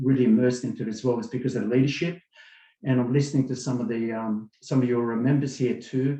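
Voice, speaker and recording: Speaking with an Australian accent, a man talks at a very fast pace at medium pitch. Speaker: webinar attendee giving testimony. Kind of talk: testimony.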